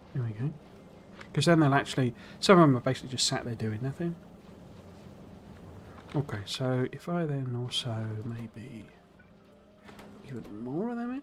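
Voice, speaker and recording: In a British accent, a man at a medium pitch speaks at a moderate pace with ordinary pitch variation, big swings in loudness, and long, frequent pauses. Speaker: gaming streamer. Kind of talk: casual gameplay commentary.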